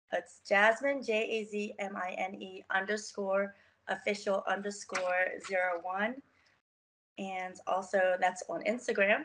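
An unremarkable speaking voice from a woman at medium pitch, fairly slow, with fairly even intonation. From US, Baltimore, Maryland. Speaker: model and personal trainer. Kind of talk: interview.

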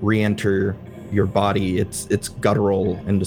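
The voice reads without forcing. It sounds unforced throughout.

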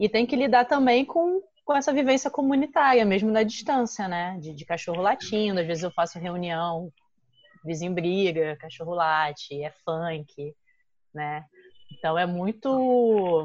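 Her pitch sitting in the medium range, a woman speaks at a fairly slow pace with very wide pitch swings and big swings in loudness. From Brazil. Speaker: podcast guest. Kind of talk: casual chat.

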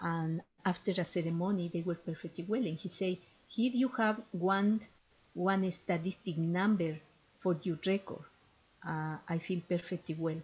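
At a moderate pace, a woman speaks with fairly low pitch, a somewhat breathy quality and fairly even intonation. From Ecuador. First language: Spanish. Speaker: ethnopharmacologist and traditional healer. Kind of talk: interview. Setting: podcast interview.

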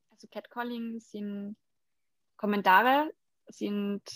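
A woman speaks at medium pitch with monotone, flat intonation, recorded dry and close with no echo. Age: 20s. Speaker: body painting model and activist. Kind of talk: interview.

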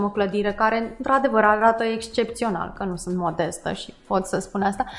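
A woman's fairly high-pitched, an ordinary speaking voice at a moderate pace, with fairly even intonation. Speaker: charity co-founder. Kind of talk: interview.

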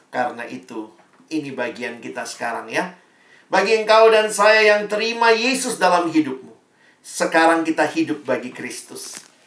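Big swings in loudness and very wide pitch swings mark a man's high-pitched voice at a moderate pace. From Indonesia, Ambonese family. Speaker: preacher. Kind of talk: sermon. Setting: video call. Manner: animated.

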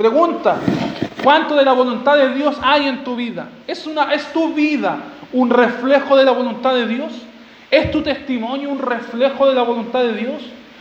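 Against noticeable background noise, a man with an extremely high pitch talks in an animated tone at a moderate pace. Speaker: preacher. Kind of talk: expository sermon to a congregation, teaching through scripture verse by verse. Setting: church. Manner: animated, rhetorical, urgent; repeats key phrases, with direct questions and calls to respond.

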